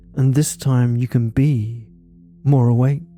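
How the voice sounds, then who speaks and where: Music in the background behind a man of medium pitch talking at a very slow pace. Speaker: hypnotist. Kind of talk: hypnosis induction. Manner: slow, soft-spoken.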